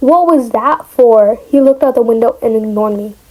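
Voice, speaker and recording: A woman talks at moderate speed as noticeable background noise carries on behind her. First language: not English. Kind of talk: casual reading of online story with reactions.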